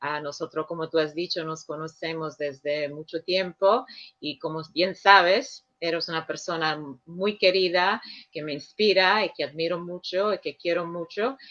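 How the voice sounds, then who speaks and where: With a non-native accent, the words come out fairly slowly. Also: woman, fairly low pitch for a woman, ordinary pitch variation. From Sicily, Italy. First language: Sicilian/Italian (speaking Spanish). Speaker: director of an international Jesuit office. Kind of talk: radio interview. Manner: hesitant, with filler sounds.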